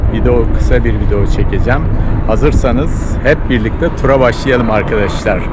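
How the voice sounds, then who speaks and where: Loud background noise surrounds a man speaking. The sound is dry, with no echo. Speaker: vlogger. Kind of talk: walking tour vlog, casual guided commentary to camera. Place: street. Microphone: phone near.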